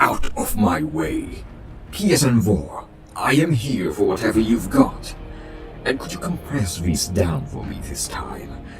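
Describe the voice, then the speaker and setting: Clear background noise sits behind a man doing a put-on character voice at a fairly slow pace. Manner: brash, demanding.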